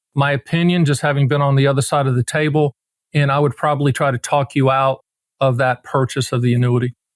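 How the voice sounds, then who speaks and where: Very fast and very even in loudness, a man talks at a fairly high pitch in a dry, close sound with no echo. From US South, rural North Carolina. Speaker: annuity advisor. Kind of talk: podcast interview. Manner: casual, animated.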